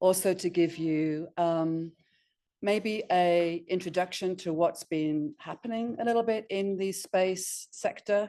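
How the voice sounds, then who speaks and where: Over a quiet background, a woman of medium pitch talks very slowly in a dark, mellow tone with ordinary pitch variation. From northeast England, Sunderland. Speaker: astronomer and professor. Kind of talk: webinar talk. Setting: webinar. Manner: informal, hesitant with many fillers.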